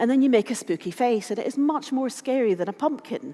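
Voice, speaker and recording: Lively intonation fills a woman's high voice as she speaks at a moderate pace against noticeable background noise. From Scotland. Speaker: conference speaker, open source advocate. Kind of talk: conference talk.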